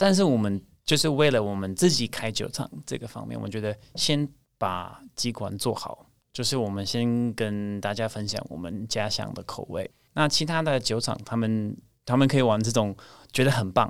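The recording is very clean, with a silent background. A man speaks at a medium pitch and a moderate pace, with ordinary pitch variation. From US Pacific Northwest, Portland, Oregon. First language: English (speaking Chinese). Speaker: craft brewery owner. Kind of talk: casual interview.

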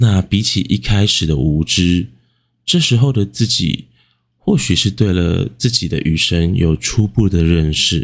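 A man with a very deep, low pitch and lively intonation keeps his loudness very even on a very clean recording with a silent background. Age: 20s. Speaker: podcast host. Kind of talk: late-night music reflection monologue. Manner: soft-spoken; slow.

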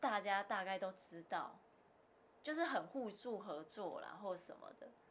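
An ordinary speaking voice with lively intonation at a fairly slow pace. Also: woman. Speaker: securities broker. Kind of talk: casual interview. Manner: laughs often.

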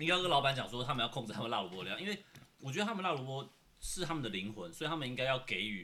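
A man speaks at a very fast pace with a bright, sharp tone, vocal fry and very wide pitch swings. Audible room echo surrounds his voice. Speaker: podcast co-host. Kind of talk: casual chat while eating. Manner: quiet voice.

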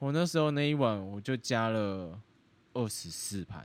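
A man speaks at a medium pitch with lively intonation, in a plain, everyday voice. The recording is very clean, with a silent background. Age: 20s. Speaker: podcast co-host. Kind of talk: casual chat.

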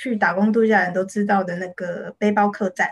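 A woman speaks with a Taiwanese accent and fairly even intonation. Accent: Taiwanese Mandarin. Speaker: illustrator and author. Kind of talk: interview.

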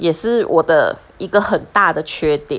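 With lively intonation, a woman speaks in a Taiwanese accent. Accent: Taiwanese Mandarin. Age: 40s. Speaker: podcaster. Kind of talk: personal monologue.

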